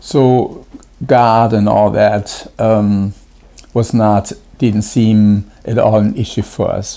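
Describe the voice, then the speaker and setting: A German accent, very slow pace, and monotone, flat intonation. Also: man, fairly low pitch for a man. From Germany. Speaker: pastor. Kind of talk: devotional talk. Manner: halting, many fillers.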